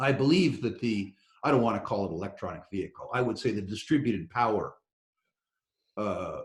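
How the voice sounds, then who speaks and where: Lively intonation in a somewhat breathy male voice. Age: 60s. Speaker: investor in natural resources. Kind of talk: interview.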